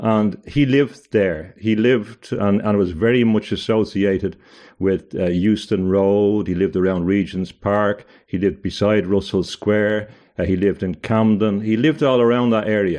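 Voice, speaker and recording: A man's fairly low voice with ordinary pitch variation and very even loudness. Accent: Irish. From Ireland. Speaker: barrister and author. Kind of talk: interview conversation. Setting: video call.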